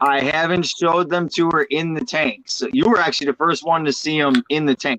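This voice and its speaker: A man with a fairly high pitch and a bright, sharp tone talks at a fairly quick pace with hardly any pauses, very even loudness and ordinary pitch variation, in a dry, close sound with no echo. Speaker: fishkeeping livestream host. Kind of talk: casual chat. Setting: livestream.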